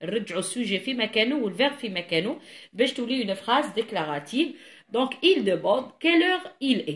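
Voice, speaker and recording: Her voice is high with a bright, sharp tone as a woman with an Algerian accent speaks very slowly, her pitch swinging very widely. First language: Algerian Arabic (speaking French). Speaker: French teacher. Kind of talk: tutorial. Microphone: phone near.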